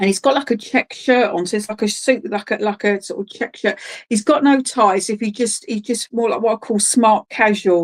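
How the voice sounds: A woman at medium pitch and moderate pace, ordinary pitch variation, dry, close sound with no echo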